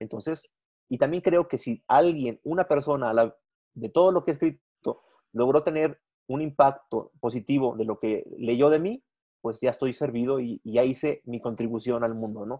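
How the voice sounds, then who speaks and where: A man at a moderate pace, dark and mellow in tone, with a dry, close sound and no echo. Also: medium pitch for a man, ordinary pitch variation. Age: 40s. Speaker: business journalist and entrepreneur. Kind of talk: interview.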